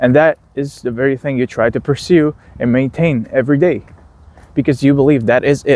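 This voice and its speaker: Fairly quick and fairly even in intonation, a man speaks with a non-native accent and a fairly high pitch. The sound is dry and close, with no echo. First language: not English. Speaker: philosophy video creator. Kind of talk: casual monologue. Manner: halting, with fillers and restarts.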